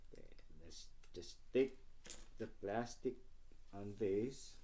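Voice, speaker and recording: A man speaks in a dark, mellow tone with a non-native accent. His intonation stays fairly even. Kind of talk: casual unboxing talk to camera.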